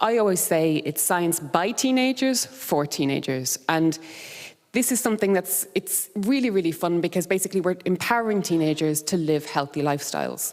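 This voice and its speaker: A fairly low-pitched woman's voice with lively intonation. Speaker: conference speaker. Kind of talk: conference presentation. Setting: stage with audience. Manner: fast; animated.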